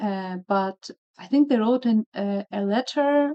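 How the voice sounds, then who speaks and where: Her fairly high-pitched voice moves with lively intonation as the woman speaks. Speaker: video blogger, blood cancer patient. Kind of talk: casual interview. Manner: hesitant, many fillers.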